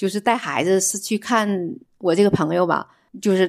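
In a very clean recording with a silent background, a woman with an ordinary speaking voice talks at a moderate pace and medium pitch. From northeast China. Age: 60s. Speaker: retired accountant. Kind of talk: casual chat.

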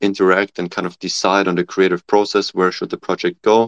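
Speech with a German accent and fairly even intonation comes through with a dry, close sound, no echo and a quiet background. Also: man. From Germany. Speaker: PhD student and startup founder. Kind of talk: panel discussion.

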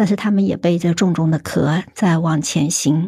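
On a very clean recording with a silent background, a somewhat breathy woman speaks with ordinary pitch variation. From Hunan, China. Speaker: rare disease policy researcher. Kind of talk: casual chat.

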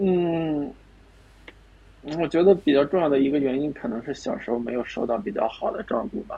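Lively intonation from a man at a moderate pace. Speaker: dating show contestant. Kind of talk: casual chat. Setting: video call.

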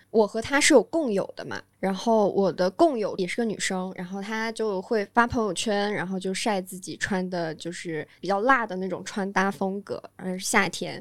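A woman with a normal speaking voice, medium pitch, ordinary pitch variation, moderate pace, and hardly any pauses, on a very clean recording with a silent background. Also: big swings in loudness. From Guangdong, China (northern family). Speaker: podcast guest. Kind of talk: casual chat.

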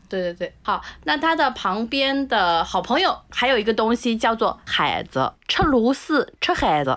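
A woman speaks at a fairly high pitch with vocal fry and very wide pitch swings. Her pace is fairly slow, with hardly any pauses. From southern China. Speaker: food lover, former restaurant industry worker. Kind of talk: casual chat.

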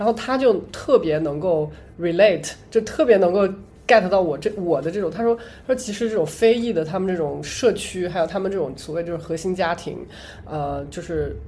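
The speaker has a dark, mellow tone, ordinary pitch variation and a moderate pace. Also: woman, fairly low pitch for a woman. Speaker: podcast co-host. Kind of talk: casual chat. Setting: public library.

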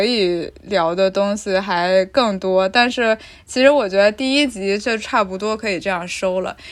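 A woman speaks in an unremarkable speaking voice at medium pitch with ordinary pitch variation. Her pace is moderate with hardly any pauses, on a very clean recording with a silent background. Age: 20s. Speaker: podcast producer and host. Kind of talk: casual chat.

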